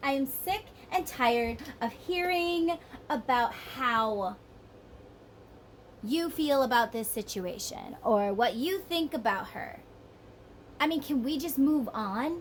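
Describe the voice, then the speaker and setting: A woman's high-pitched voice at a fairly slow pace, broken by long, frequent pauses. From northern US. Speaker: tarot reader. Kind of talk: tarot reading monologue. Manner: animated.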